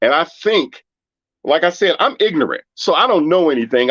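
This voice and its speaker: An American-accented man talks at a fairly quick pace with lively intonation in an unremarkable speaking voice, the sound dry and close with no echo. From Washington, D.C. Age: 60s. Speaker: caller. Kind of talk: casual discussion.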